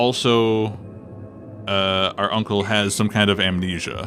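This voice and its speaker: Music plays in the background. Over it, a man speaks. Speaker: vtuber. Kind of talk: gameplay commentary.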